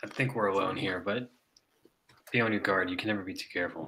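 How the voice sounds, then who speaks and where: A raspy, put-on character voice races along very fast with fairly even intonation. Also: man, fairly low pitch for a man. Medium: actual play. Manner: cautious.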